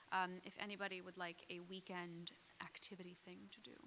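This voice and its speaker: A woman with an American accent speaks in a raised, projected voice at a moderate pace. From Trenton, New Jersey. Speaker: open mic host. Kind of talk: event announcements. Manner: casual.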